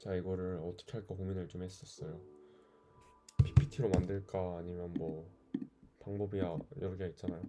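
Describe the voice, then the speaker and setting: Calm and dark-toned, a man with a very deep, low pitch speaks with fairly even intonation, big swings in loudness and long, frequent pauses. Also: moderate pace. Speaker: vlogger. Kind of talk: casual monologue vlog. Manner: hesitant, thinking aloud.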